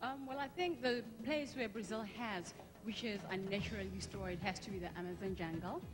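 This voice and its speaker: A woman speaks at a fairly quick pace, with noticeable background noise and audible room echo. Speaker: beauty pageant contestant. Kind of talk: live pageant interview.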